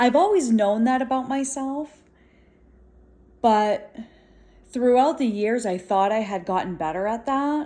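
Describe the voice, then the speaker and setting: A woman speaks loudly with a high pitch, a dark, mellow tone and lively intonation. Her pace is fairly slow with long, frequent pauses in a very clean recording with a silent background. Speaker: vlogger. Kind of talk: casual vlog monologue. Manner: animated.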